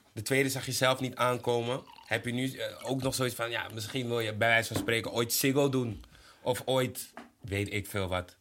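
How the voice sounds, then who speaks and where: A man speaks at a moderate pace and medium pitch in an ordinary speaking voice, with fairly even intonation. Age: 20s. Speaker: podcast host. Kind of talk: casual chat. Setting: studio.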